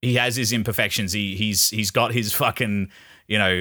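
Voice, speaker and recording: Recorded very cleanly against a silent background, a man with an Australian accent speaks at a fairly low pitch with a bright, sharp tone and ordinary pitch variation. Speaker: podcast host, film reviewer. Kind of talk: casual chat.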